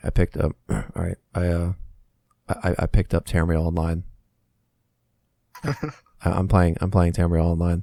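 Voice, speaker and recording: In a put-on character voice, a man mumbles at a very deep, low pitch and a moderate pace, his intonation fairly even and his pauses long and frequent. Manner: mumbling into the microphone, indistinct.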